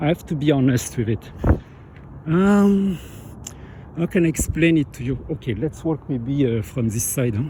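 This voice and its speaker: Speaking with a French accent, this voice has lively intonation, a moderate pace, long, frequent pauses and a somewhat breathy quality. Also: man, fairly high pitch for a man. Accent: French accent, noticeable. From France. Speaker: vlogger. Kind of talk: casual monologue. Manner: halting.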